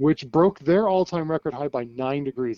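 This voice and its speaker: A man speaks with a West Coast US accent. His intonation is lively. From US West Coast. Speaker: TV meteorologist. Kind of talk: casual interview. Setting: phone call.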